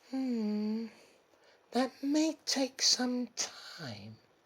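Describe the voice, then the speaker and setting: The pitch sits fairly high. It is a put-on character voice. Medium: read story. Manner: casual, smug, purring.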